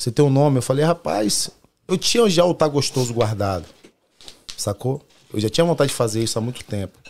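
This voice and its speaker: A man talks at a fairly quick pace with lively intonation. Long, frequent pauses break up his speech. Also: medium pitch for a man. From Brazil, Salvador, Bahia. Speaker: pagode singer and musician. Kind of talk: casual chat.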